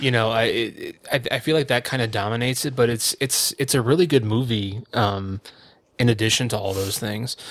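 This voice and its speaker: Fairly quick and fairly even in intonation, a man talks. His pitch is medium. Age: 30s. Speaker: podcast co-host. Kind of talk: casual chat. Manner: halting, many fillers.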